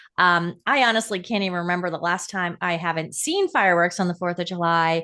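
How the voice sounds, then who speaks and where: In a normal speaking voice, a woman talks at medium pitch and a moderate pace against a quiet background. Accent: American. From US Northeast, Pennsylvania. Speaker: podcast host. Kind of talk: casual chat.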